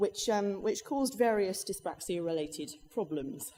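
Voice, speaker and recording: A woman speaks with an English accent and a dark, mellow tone. Her pace is moderate. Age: 30s. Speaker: freelance journalist and dyspraxia advocate. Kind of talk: conference talk. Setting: stage with audience. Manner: hesitant, many fillers.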